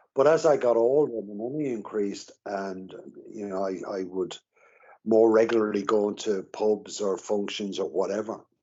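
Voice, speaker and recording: A man with an Irish accent talks at a moderate pace, his fairly low pitch showing ordinary variation. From Ireland. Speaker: recovering alcoholic. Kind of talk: interview. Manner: halting.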